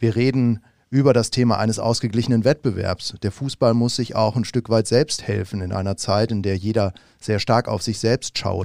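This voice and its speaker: In a very clean recording with a silent background, a man with a normal speaking voice talks at a moderate pace, his medium pitch following a fairly even intonation. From Bavaria, Munich. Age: 40s. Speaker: fan club chairman. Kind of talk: podcast interview. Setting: studio.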